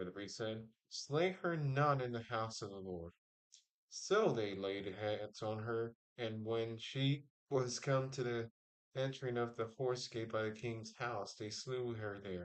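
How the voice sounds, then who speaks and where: A man mumbles at a fairly slow pace. His pitch is medium, with ordinary pitch variation. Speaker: livestreamer reading the Bible. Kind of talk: reading aloud. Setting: live stream with chat. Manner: mumbling.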